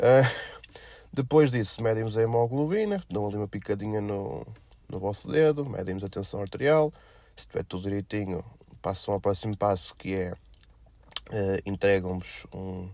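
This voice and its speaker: Long, frequent pauses from a man at a moderate pace, fairly low in pitch with ordinary pitch variation. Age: 20s. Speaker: podcast host. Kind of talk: casual monologue. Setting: at blood donation site. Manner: hesitant with fillers.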